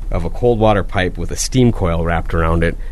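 A man with an Upper Midwest accent speaks at a fairly low pitch with fairly even intonation. Audible room echo and noticeable background noise fill the recording. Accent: Upper Midwest (Minnesota). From Minnesota (Proctor). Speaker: public utilities general manager. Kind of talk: radio interview. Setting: radio studio.

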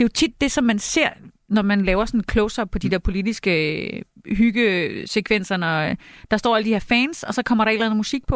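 Speaking at a moderate pace in a normal speaking voice, a woman has a fairly high pitch and ordinary pitch variation, on a very clean recording with a silent background and a dry, close sound with no echo. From Denmark. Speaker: journalist and cookbook author. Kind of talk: casual chat. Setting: studio.

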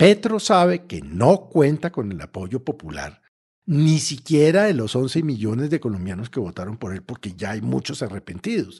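A man speaks at a moderate pace and medium pitch, somewhat breathy. His pitch swings very widely, and his loudness shifts a lot. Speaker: political commentator. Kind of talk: political commentary. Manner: animated.

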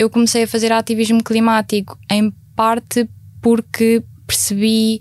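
A woman speaks at a fairly high pitch, fairly slowly, with very even loudness and a flat, monotone delivery. Her voice is somewhat breathy, and the sound is dry and close with no echo. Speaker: climate activist. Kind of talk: panel discussion.

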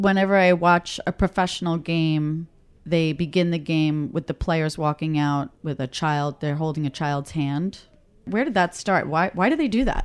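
Recorded very cleanly against a silent background, a woman with a New York accent speaks at a fairly low pitch and moderate pace with ordinary pitch variation. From Queens, New York. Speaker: radio host. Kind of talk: interview.

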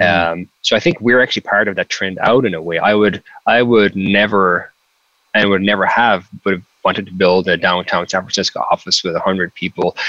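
A man with a Cork accent speaks at a fairly quick pace in a bright, sharp tone. The sound is dry and close, with no echo. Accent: Cork Irish. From Ireland, County Cork. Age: 30s. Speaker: tech startup founder. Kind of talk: interview.

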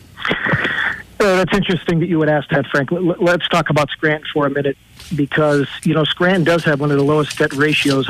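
Over noticeable background noise, a man with an American accent speaks at a fairly high pitch and moderate pace, with fairly even intonation and very even loudness. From Pennsylvania, Lackawanna County. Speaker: political candidate, former police officer. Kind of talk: radio interview.

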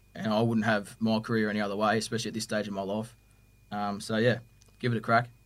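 In a very clean recording with a silent background, a man with an Australian accent speaks very fast at a fairly low pitch with monotone, flat intonation. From Victoria, Australia. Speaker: police custody officer. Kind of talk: podcast interview.

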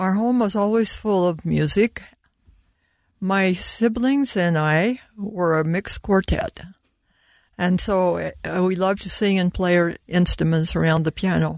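A woman speaks fairly slowly with an American accent, at a medium pitch with ordinary pitch variation. Her loudness stays very even, and she has an unremarkable speaking voice. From US Mountain West. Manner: warm, laughs often.

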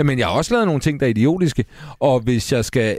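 In a very clean recording with a silent background, a man talks at a fairly quick pace with a medium pitch and very wide pitch swings. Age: 40s. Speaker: radio host. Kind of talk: casual chat. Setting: studio.

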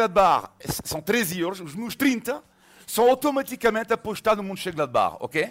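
A man speaks in a high voice. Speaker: journalist. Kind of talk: casual chat.

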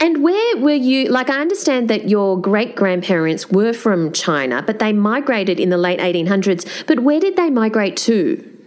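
A woman with an Australian accent speaks at a moderate pace in a fairly high pitch, her voice swinging very widely in pitch while her loudness stays very even, with hardly any pauses and noticeable background noise. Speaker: podcast host and festival curator. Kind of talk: interview.

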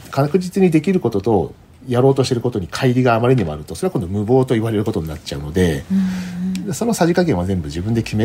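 A man at medium pitch, very fast pace and very wide pitch swings, with music in the background. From Japan, Kanagawa. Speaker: polar explorer. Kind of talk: interview. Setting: remote call.

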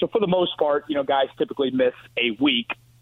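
A man with a fairly high pitch and an unremarkable speaking voice talks at a fairly quick pace. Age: 30s. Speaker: sports radio host. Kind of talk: phone-in sports talk.

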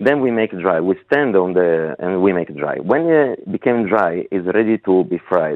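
In an Italian accent, a man speaks at a moderate pace with a very deep, low voice. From Piedmont, northern Italy. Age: 30s. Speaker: head chef. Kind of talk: interview. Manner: relaxed.

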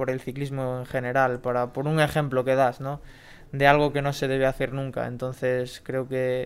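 The man's medium-pitched voice stays monotone and flat. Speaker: professional cyclist. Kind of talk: casual interview.

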